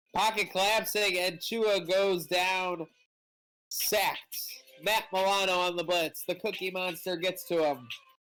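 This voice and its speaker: Music plays behind speech that unfolds at a fairly slow pace. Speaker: live game commentator streamer. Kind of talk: live commentary. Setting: on his porch. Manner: animated.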